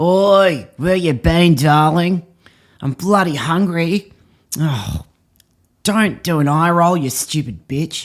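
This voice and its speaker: Using a gruff, put-on character voice pitched high, a man speaks at a very slow pace with long, frequent pauses on a very clean recording with a silent background. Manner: aggressive, belittling.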